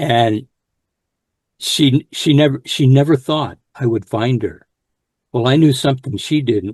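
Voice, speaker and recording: The sound is dry and close, with no echo. A man speaks at a medium pitch with ordinary variation in a somewhat breathy voice. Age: 70s. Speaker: Vietnam veteran and poet. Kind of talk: interview testimony.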